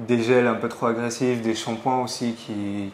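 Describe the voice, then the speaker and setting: Monotone, flat intonation marks this fairly slow speech. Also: man. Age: 20s. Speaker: hair transplant patient. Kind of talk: interview. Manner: hesitant, many fillers.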